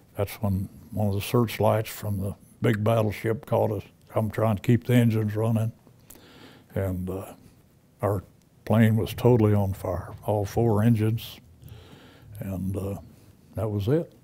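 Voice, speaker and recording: A man with a somewhat breathy, dark, mellow tone speaks at a fairly slow pace and fairly low pitch. His intonation is fairly even, and his pauses are long and frequent. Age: 90s. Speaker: WWII veteran and author. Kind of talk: interview testimony. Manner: halting.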